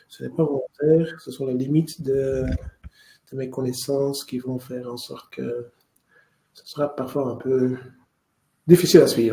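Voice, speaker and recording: With a Flemish accent, a man speaks at a medium pitch in a dark, mellow, somewhat breathy tone, going at a fairly slow pace with long, frequent pauses. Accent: Dutch-speaking (Flemish) accent in French. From Flanders, Belgium (Mechelen area). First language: Dutch (speaking French). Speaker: lawyer. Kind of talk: webinar lecture. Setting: online webinar, screen share. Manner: halting, with repetitions.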